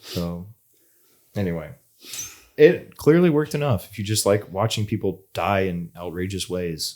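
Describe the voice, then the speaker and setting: With long, frequent pauses and big swings in loudness, a man speaks at a fairly low pitch with lively intonation in a very clean recording with a silent background. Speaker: podcast co-host. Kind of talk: casual chat. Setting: studio. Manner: fast.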